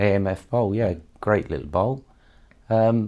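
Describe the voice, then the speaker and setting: In a West Country accent, a man with a fairly low pitch and a dark, mellow tone comes through on a very clean recording with a silent background. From Somerset, south-west England. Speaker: bowling association chairman. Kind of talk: interview.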